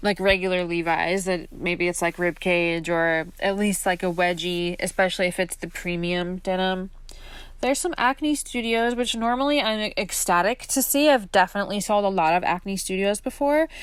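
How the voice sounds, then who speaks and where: A woman uses a normal speaking voice of medium pitch with lively intonation. She keeps a moderate pace on a very clean recording with a silent background. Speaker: fashion reseller vlogger. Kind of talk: casual vlog voiceover. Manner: casual, filler-heavy.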